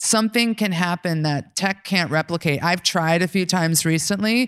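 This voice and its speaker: In a plain, everyday voice with an American accent, a woman speaks at a moderate pace with fairly low pitch and ordinary pitch variation, on a very clean recording with a silent background. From New York. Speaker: podcast host and legal operations lead. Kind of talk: live panel moderation. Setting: stage with audience.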